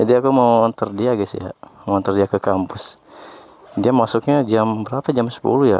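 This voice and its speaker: A man talks at a moderate pace with fairly even intonation, in a dry sound with no echo and light background noise. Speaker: motovlogger. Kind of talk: casual vlog chat. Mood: playful, laughing. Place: street. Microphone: helmet.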